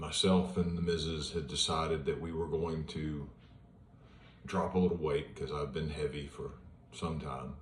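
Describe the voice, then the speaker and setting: The voice has vocal fry and fairly even intonation, at a fairly slow pace. Audible room echo surrounds it. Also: man. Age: 60s. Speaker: retired police officer sharing his cancer journey. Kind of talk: personal vlog monologue. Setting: at home in front of an iPad. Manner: casual, with hesitations.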